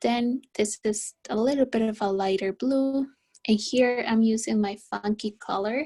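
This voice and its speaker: A woman talks at a fairly slow pace with a fairly high pitch. She sounds somewhat breathy, and her pitch varies in an ordinary way. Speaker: art teacher. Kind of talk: tutorial.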